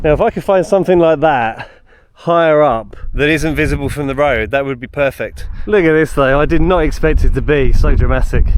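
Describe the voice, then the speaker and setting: A man with a southern English accent speaks at a fairly quick pace, his pitch fairly high and its variation ordinary. Background noise is noticeable. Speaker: outdoor vlogger. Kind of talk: walking vlog narration. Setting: outdoors. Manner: casual, chatty.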